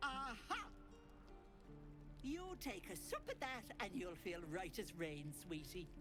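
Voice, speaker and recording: Over loud music in the background, a put-on character voice at a middle pitch moves at a fairly slow pace with long, frequent pauses. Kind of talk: folksy old woman. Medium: video game. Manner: sugary, doting, chatty.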